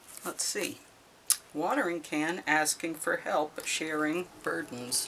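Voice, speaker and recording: The delivery is very slow. Noticeable background noise runs underneath. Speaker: tarot reader. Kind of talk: tarot reading. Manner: hesitant, with fillers.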